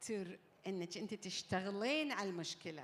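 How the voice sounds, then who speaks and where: A woman talks fairly slowly, her pitch at a medium level. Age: 60s. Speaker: summit panel speaker. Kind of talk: panel interview. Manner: code-switching Arabic and English.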